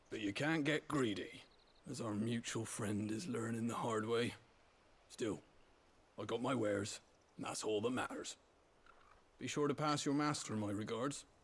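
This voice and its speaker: A raspy put-on character voice from a man at medium pitch, moderate pace, and long, frequent pauses. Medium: video game. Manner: dry, folksy.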